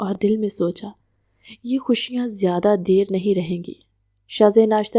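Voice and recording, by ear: Reading aloud in a natural voice, the background quiet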